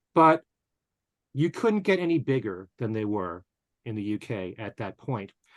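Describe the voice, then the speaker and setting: With an unremarkable speaking voice, a man talks at a medium pitch and a moderate pace with lively intonation, in a dry, close sound with no echo against a quiet background. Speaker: radio host, interviewer. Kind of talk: podcast interview questions.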